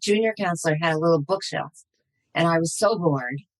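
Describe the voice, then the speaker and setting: At a fairly quick pace, a woman with an unremarkable speaking voice uses lively intonation, and the sound is dry and close with no echo. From US Northeast, New York area. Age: 50s. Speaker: psychotherapist. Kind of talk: interview.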